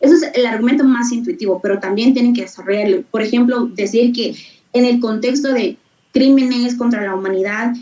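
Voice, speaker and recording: This woman's high-pitched voice shows ordinary pitch variation and travels at a fairly quick pace. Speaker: debate workshop instructor. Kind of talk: online workshop lecture. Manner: halting with fillers.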